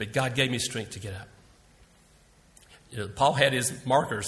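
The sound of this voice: A man talks at a moderate pace with a medium pitch, ordinary pitch variation and a fairly bright tone. Room echo is audible.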